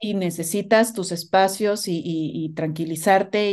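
Over a quiet background, a woman speaks with fairly even intonation. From Mexico. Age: 40s. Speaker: guest sharing motherhood story; guest. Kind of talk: personal testimony. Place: home room. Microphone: video call.

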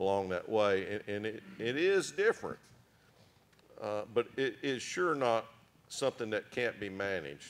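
A man speaks with an American accent and a medium pitch at a fairly slow pace. It is a plain, everyday voice. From western Oklahoma. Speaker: farmer and rancher; panelist. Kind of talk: panel discussion. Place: hall. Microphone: handheld.

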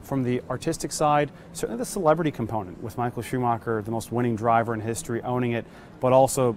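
At a very fast pace, a man talks with ordinary pitch variation in a dry sound with no echo and light background noise. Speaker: auction house specialist. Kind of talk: interview answer. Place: hall.

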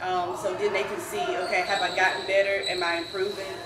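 The voice carries ordinary pitch variation over noticeable background noise. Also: woman. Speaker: basketball coach. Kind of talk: interview answer. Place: meeting room.

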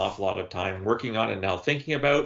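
A man with a Canadian accent at a very fast pace, quiet background behind him. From Canada. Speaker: former intelligence analyst and author; former intelligence analyst. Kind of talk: casual chat. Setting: video call. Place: home room. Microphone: video call.

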